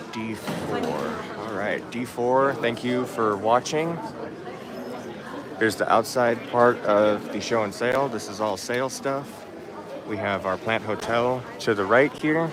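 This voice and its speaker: A man at a medium pitch speaks fairly slowly with ordinary pitch variation, with noticeable background noise and audible room echo. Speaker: orchid channel host. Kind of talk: live stream plant show tour. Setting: orchid show, partly outdoors.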